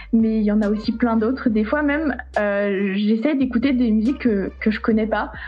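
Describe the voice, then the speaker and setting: Music plays in the background as a woman with a fairly high pitch talks at a moderate pace, her loudness very even and her intonation fairly even, with audible room echo. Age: 20s. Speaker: saxophonist and music teacher. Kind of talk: casual interview. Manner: hesitant, many fillers.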